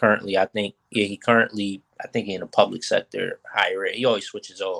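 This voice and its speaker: A fairly quick pace in a dry, close sound with no echo. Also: man. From US Northeast, North Philadelphia. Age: 20s. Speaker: chemistry professor. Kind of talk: casual interview. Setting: video call from home.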